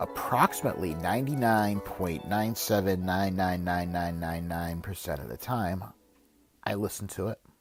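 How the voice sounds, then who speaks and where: Music plays in the background as a man with a very deep, low pitch talks at a moderate pace with ordinary pitch variation. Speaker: author narrating his own book. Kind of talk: audiobook-style self-help narration, reading a book chapter.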